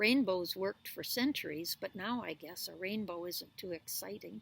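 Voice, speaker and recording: Putting on a character voice, a woman speaks at a medium pitch and moderate pace with lively intonation and a rumbling quality. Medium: read story.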